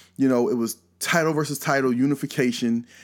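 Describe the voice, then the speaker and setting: In an American accent, a man speaks with an ordinary speaking voice, fairly high in pitch with ordinary pitch variation. The recording is very clean, with a silent background. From US South, rural North Carolina. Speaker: wrestling podcast host. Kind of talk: casual monologue. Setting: live stream.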